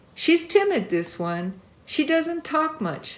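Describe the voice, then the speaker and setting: Speaking at a fairly slow pace, a woman puts on a squeaky character voice pitched high. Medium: read story. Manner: smooth, reassuring.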